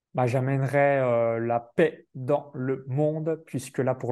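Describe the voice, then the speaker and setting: The voice moves at a very slow pace, dark and mellow in tone, with fairly even intonation. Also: man. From France, Burgundy (near Chalon-sur-Saône). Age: 30s. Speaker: online business entrepreneur. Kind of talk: interview.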